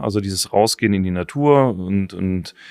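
Here a man speaks at a fairly low pitch. His pace is moderate, with ordinary pitch variation. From Germany, Taunus (Hesse). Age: 40s. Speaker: survival trainer. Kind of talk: interview. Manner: hesitant fillers (äh, ähm).

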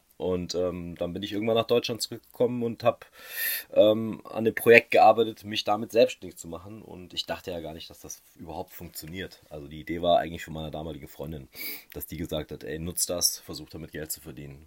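A man speaks at a fairly quick pace with a very deep, low pitch and ordinary pitch variation. The sound is dry and close with no echo. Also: big swings in loudness. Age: 30s. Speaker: magician. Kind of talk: casual interview.

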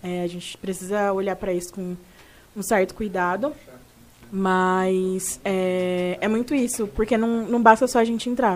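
A woman with an ordinary speaking voice and medium pitch talks at a fairly slow pace. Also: fairly even intonation. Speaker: podcast host, HR professional. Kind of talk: casual interview chat.

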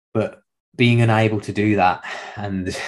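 Fairly even intonation in a man's unremarkable speaking voice, pitched fairly low. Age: 30s. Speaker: podcast host and fitness trainer. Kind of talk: solo monologue, personal story.

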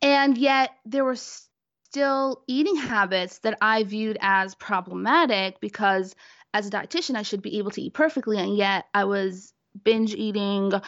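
A woman with a normal speaking voice, a fairly high pitch, ordinary pitch variation and a fairly slow pace. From Brooklyn, New York. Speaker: dietitian. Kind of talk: casual interview.

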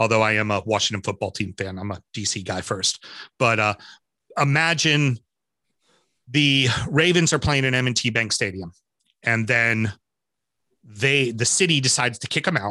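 An American-accented man's bright, sharp voice at a medium pitch, with lively intonation and long, frequent pauses. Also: moderate pace. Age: 40s. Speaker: football podcaster, former goalkeeper. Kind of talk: casual chat.

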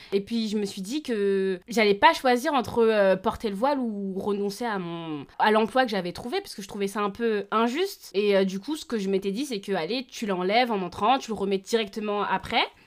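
A woman with an unremarkable speaking voice talks at medium pitch and a moderate pace with ordinary pitch variation and hardly any pauses, in a very clean recording with a silent background. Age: 20s. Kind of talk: interview testimony.

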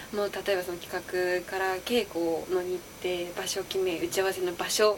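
Over noticeable background noise, a woman speaks at a moderate pace and medium pitch. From Osaka. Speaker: actress. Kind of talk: interview.

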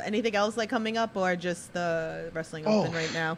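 A woman speaks at a moderate pace with a strong New York accent and fairly even intonation. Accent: thick Queens, New York. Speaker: podcast host. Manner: casual, chatty, uses many filler words.

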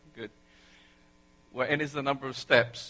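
A man with an English accent speaks in a fairly high voice with monotone, flat intonation. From England. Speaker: preacher. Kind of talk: sermon. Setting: church.

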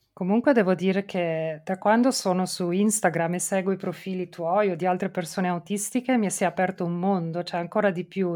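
At a fairly quick pace, a woman talks in an ordinary speaking voice at medium pitch. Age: 40s. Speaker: podcast host, mother. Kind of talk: casual interview chat.

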